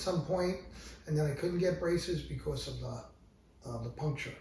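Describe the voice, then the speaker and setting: A man speaks very fast, with audible echo in the room. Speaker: music teacher. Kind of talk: casual chat. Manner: halting.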